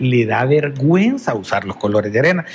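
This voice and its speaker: Very wide pitch swings from a man, over noticeable background noise. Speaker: politician, election candidate. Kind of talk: political interview. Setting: TV studio.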